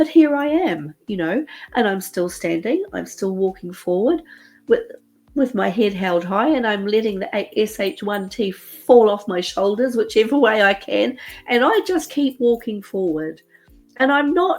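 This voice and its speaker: Here a woman speaks with an English accent at a fairly high pitch. Her pace is fairly slow and her pitch swings very wide. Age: 60s. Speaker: author and podcaster. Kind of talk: personal monologue. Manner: casual, chatty.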